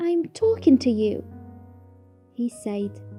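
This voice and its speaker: Over music in the background, a woman talks at a very slow pace. Her pitch is high. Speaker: story narrator. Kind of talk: short story reading.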